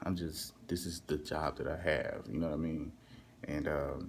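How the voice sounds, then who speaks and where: The speaker has a Southern US accent. The intonation is monotone and flat. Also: man. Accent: Southern twang. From Texas, US South. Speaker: overnight hotel worker and vlogger. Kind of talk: casual vlog monologue. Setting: hotel front desk at night, alone. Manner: casual, filler-heavy, repetitive.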